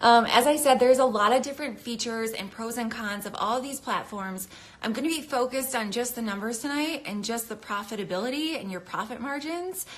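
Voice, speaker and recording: With lively intonation, a woman speaks at a high pitch and a fairly quick pace. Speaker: craft business educator. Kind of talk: live stream tutorial. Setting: Instagram live video. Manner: fast; casual, filler-heavy.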